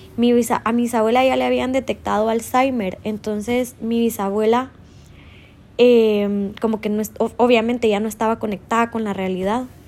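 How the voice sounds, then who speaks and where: A woman's fairly high voice, flat and monotone, at a moderate pace. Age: 30s. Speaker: podcaster. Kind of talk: personal monologue.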